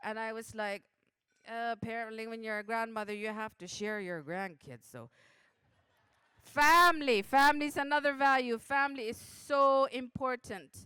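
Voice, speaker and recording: A woman speaks in a bright, sharp tone with fairly high pitch. Her loudness swings widely. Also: ordinary pitch variation, moderate pace. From Canadian Arctic (Nunavut, Resolute Bay). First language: Inuktitut. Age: 40s. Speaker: journalist and throat singer. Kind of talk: speech at awards banquet.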